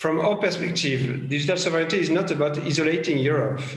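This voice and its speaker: In a French accent, a man speaks at a fairly high pitch with ordinary pitch variation. Noticeable background noise and audible room echo fill the recording. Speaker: former government tech official, panelist. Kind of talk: panel discussion. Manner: halting.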